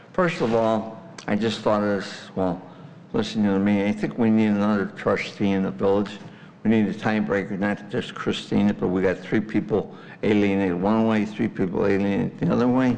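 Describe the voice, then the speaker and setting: Fairly quick speech from a man at a fairly low pitch, ordinary pitch variation, and audible room echo. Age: 80s+. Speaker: resident, taxpayer. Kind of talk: public comment at council meeting. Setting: village board meeting.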